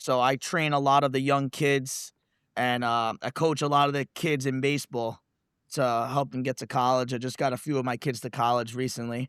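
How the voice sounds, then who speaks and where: In a New York accent, a man speaks at a moderate pace and medium pitch with monotone, flat intonation, in a very clean recording with a silent background and a dry, close sound with no echo. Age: 30s. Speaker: reality TV contestant, law enforcement instructor. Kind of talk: casual interview.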